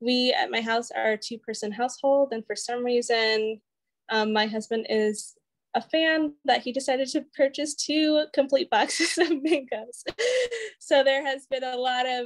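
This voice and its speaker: Against a quiet background, a woman speaks at a moderate pace in a high pitch with ordinary pitch variation. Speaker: program coordinator hosting workshop. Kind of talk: workshop presentation chat. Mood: friendly, laughing. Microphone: video call.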